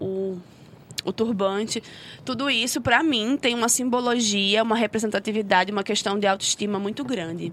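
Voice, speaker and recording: Here a woman talks at a medium pitch with ordinary pitch variation. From Rio de Janeiro, Brazil. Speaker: social sciences student and civil engineer. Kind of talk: casual podcast conversation.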